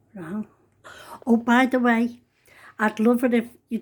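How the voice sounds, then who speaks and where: A woman with a Liverpool accent speaks at a moderate pace in a high voice. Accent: Scouse. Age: 70s. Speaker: home cook vlogger. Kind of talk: cooking tutorial. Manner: chatty.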